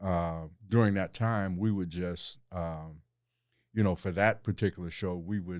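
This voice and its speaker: On a very clean recording with a silent background, a man with an American accent speaks at a fairly slow pace in a very deep, low voice with fairly even intonation. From Cleveland, Ohio. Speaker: city councilman and former TV journalist. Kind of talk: interview conversation.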